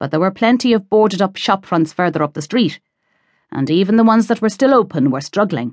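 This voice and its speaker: A woman with an Irish accent talks at a fairly quick pace and medium pitch. Her tone is animated, and her pitch swings very widely. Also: quiet background. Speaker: audiobook narrator. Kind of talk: dramatic audiobook narration of a thriller, with character voices. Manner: tense, suspenseful pacing that builds the menace; animated, shifting into gruff, impatient Cork voices for dialogue.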